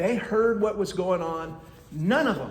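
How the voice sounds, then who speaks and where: A man speaks loudly in a high voice. Room echo is audible. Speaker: citizen activist. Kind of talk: public comment at county meeting. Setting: county commission meeting.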